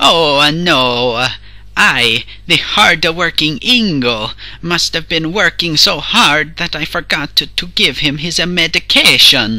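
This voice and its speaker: A man speaks with a fairly high pitch and lively intonation. Light background noise sits behind him. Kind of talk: comic overacting. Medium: fan dub. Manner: grandiose, speaks of himself in third person.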